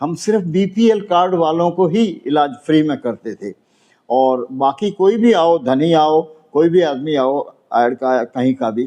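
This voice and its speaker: Lively intonation marks this man's fairly high-pitched voice, which has a dark, mellow tone. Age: 80s+. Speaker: elderly NRI building owner. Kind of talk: news interview statement. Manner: halting.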